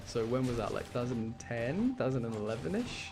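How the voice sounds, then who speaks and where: A man at a very fast pace, with audible room echo and music in the background. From English Midlands. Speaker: gaming streamer. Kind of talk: casual chat while gaming. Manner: rambling, filler-heavy.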